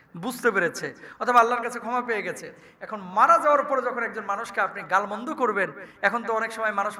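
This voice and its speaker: A man's raised, projected voice with ordinary pitch variation over noticeable background noise. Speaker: Islamic preacher. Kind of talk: sermon. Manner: animated.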